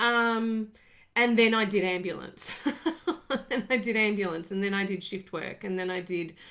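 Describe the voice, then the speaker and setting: A woman with an Australian accent speaks in a bright, sharp tone with fairly even intonation. Her long, frequent pauses fall in a very clean recording with a silent background. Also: medium pitch for a woman, moderate pace. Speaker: former ambulance paramedic, wellbeing coach. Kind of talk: casual live talk to camera. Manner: rambling.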